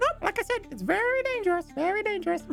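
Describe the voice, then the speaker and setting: A squeaky, put-on character voice rattles along at a very fast pace over clear music in the background. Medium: actual play. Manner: hearty, casual.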